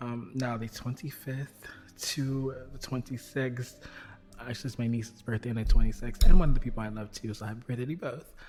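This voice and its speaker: Soft-spoken, this voice moves at a fairly quick pace. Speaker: astrology and intuition podcast host. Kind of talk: casual astrology forecast monologue. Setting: at home at night. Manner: quiet, soft; hesitant, many fillers.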